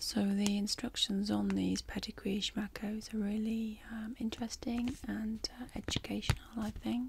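A woman keeps a moderate pace with hardly any pauses amid noticeable background noise. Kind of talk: ASMR role-play talk to viewer. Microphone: studio mic.

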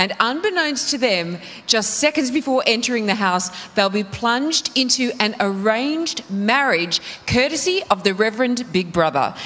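A woman with an Australian accent speaks at a moderate pace in a fairly high voice that swings very widely in pitch. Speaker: reality TV show host. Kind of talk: TV presenting. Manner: animated. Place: studio. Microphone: handheld.

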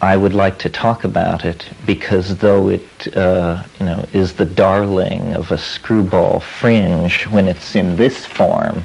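A man speaks with a very deep, low pitch. His pace is very slow and his intonation fairly even. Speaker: lecturer. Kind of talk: lecture. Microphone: old recording.

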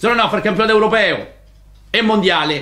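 Speaking very fast and high-pitched, a man talks with a Roman accent. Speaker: football coach. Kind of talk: press conference rant. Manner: heated, colourful. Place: meeting room. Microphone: podium.

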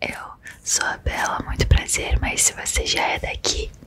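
Someone speaks at a moderate pace against loud background noise. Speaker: ASMR content creator. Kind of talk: casual vlog chat. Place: home room. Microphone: studio mic.

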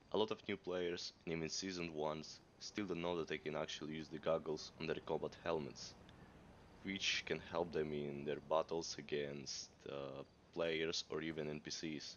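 A man with a non-native accent, very deep, low pitch, fairly even intonation and a moderate pace. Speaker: gamer. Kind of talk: casual gameplay tutorial.

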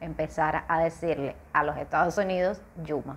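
A woman speaks with a Cuban accent. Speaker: vlogger. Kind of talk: casual talk to camera. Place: home room. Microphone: webcam.

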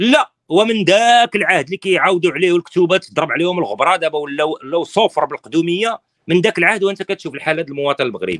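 A man rattles along at a very fast pace with lively intonation. His tone is animated, and the background is quiet. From Morocco. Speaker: political opposition activist; political commentator guest. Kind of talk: interview. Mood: critical, serious. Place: home room. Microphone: phone near.

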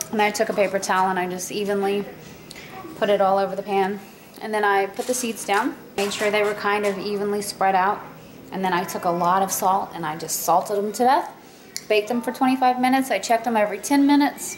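Over light background noise, a woman talks very fast with ordinary pitch variation. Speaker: vlogger. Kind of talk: casual vlog chat. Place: kitchen. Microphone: phone near.

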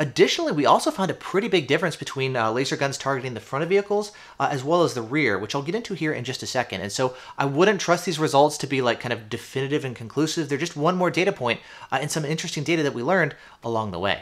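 Over a quiet background, a man talks at a very fast pace with lively intonation. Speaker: product reviewer. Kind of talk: commentary. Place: studio.

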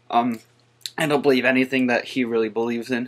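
A man speaks at a fairly quick pace in a medium pitch, his tone fairly bright.

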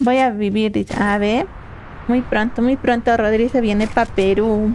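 A woman speaks at a fairly slow pace in a fairly high pitch, her tone slightly mellow and her pitch variation ordinary.

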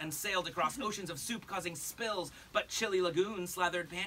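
Pitch moves in an ordinary way here. The voice is an unforced reading voice.

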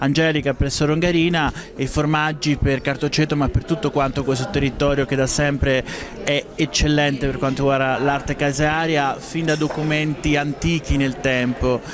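Noticeable background noise sits under a man talking in a flat monotone at a moderate pace. His loudness is very even, and the sound is dry with no echo. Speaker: speaker. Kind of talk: interview answer. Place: hall. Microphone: handheld.

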